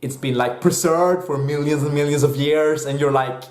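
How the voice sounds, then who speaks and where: This man has a Swedish accent and a medium pitch. He talks at a fairly quick pace, with audible room echo. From Sweden. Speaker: movie reviewer. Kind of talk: casual video review. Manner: hesitant, many fillers; animated.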